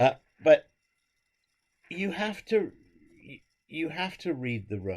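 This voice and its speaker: A man with an English accent and a fairly high pitch, at a very slow pace, with very wide pitch swings, big swings in loudness, and long, frequent pauses. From England. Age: 70s. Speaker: conductor. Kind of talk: interview.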